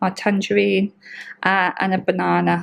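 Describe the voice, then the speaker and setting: Soft-spoken, a woman talks at a fairly slow pace. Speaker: vlogger. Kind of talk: casual vlog. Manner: quiet, speaking softly; hesitant, many ums.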